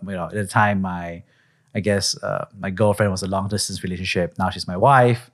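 This very clean recording has a silent background. A man with a Singaporean accent speaks at a moderate pace. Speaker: investor and podcast host. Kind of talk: interview conversation.

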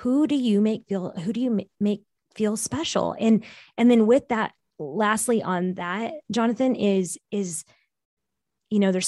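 Recorded with a dry, close sound and no echo, a woman speaks at a moderate pace in a Californian accent, her pitch varying in an ordinary way. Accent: Californian American. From US West Coast, San Francisco Bay Area. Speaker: business coach and consultant. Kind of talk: interview conversation.

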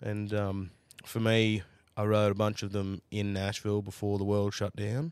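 In an Australian accent, a man speaks at a fairly low pitch with monotone, flat intonation. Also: moderate pace. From Australia, New South Wales. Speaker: country music singer and songwriter. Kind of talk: casual chat.

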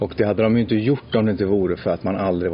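There is noticeable background noise behind a man with a fairly low pitch and ordinary pitch variation. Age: 40s. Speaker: podcast host. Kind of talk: casual chat.

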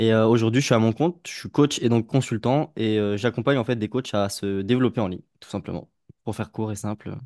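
A man at medium pitch in a normal speaking voice, fairly quick, with big swings in loudness, recorded dry and close with no echo against a quiet background. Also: ordinary pitch variation. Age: 20s. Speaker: life coach. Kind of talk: podcast interview.

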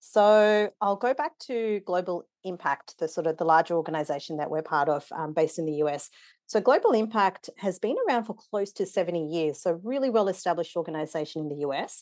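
Against a quiet background, a fairly low-pitched woman with an Australian accent talks at a fairly quick pace, with lively intonation and hardly any pauses. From Kenya-born, raised in Wollongong, Australia. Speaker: non-profit board member and facilitator. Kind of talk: interview conversation.

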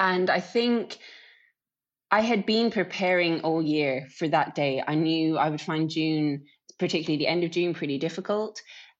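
A woman with an Irish accent, fairly low in pitch with ordinary pitch variation, at a moderate pace against a quiet background. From Ireland. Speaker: professional cyclist. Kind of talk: interview.

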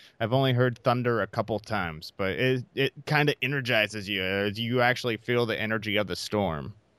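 In a plain, everyday voice, a man with an American accent speaks at a fairly quick pace and medium pitch with ordinary pitch variation, recorded very cleanly against a silent background with a dry, close sound and no echo. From US Midwest, Iowa. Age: 30s. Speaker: podcast host. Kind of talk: casual interview.

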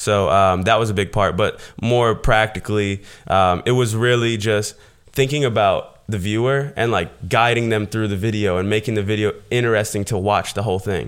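A man with an American accent speaks in an unremarkable speaking voice at a moderate pace. His pitch is fairly low and his intonation fairly even. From US South, southwest Florida. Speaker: YouTuber and e-commerce entrepreneur. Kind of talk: casual interview chat.

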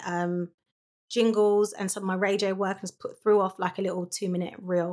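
With a South London accent, a woman speaks fairly quickly at medium pitch, using ordinary pitch variation. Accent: South London accent, drops T's. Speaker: voiceover artist and voice coach. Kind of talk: casual interview. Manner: fast talker; mumbles in casual talk.

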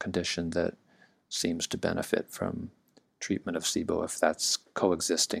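With a Californian accent, a man speaks fairly slowly in a very deep, low pitch and monotone, flat intonation. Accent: General American (Californian). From US, Southern California. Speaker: naturopathic doctor. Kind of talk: interview.

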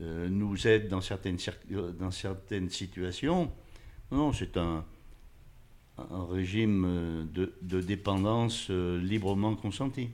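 This man's voice sits very deep and low, with ordinary variation in pitch. He speaks very slowly and pauses often and at length. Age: 80s+. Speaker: retired factory worker and freemason. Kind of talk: interview. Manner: halting, repeating words.

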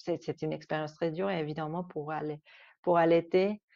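A woman's intonation stays monotone and flat, with a quiet background behind her. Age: 30s. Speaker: mother. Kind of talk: testimony. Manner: halting.

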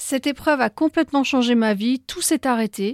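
A woman's high-pitched voice at a moderate pace, in a dry, close sound with no echo. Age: 40s. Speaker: breast cancer survivor and YouTuber. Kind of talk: scripted narration.

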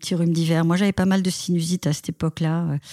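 A woman speaks in a fairly low register with a dark, mellow tone, the sound dry and close with no echo. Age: 50s. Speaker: amateur runner. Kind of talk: interview. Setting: remote call.

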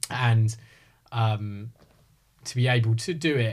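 This man has a somewhat breathy voice at medium pitch, with a southern English accent. The recording is very clean, with a silent background. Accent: southern English, slight rising intonation. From Hertfordshire, England. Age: 30s. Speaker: real estate advisor. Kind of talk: casual chat.

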